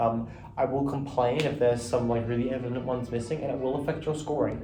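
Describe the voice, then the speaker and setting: A man's medium-pitched, very fast speech in a monotone, flat intonation, with audible room echo and noticeable background noise. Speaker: competitive gaming commentator. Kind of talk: casual monologue review. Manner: filler-heavy, with frequent ums. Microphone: echoey room audio.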